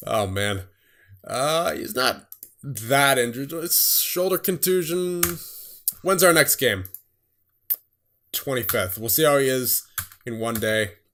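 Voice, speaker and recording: A man speaks at a fairly slow pace with a fairly high pitch and a bright, sharp tone. His pitch swings very widely, broken by long, frequent pauses. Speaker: gaming YouTuber. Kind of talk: gameplay commentary.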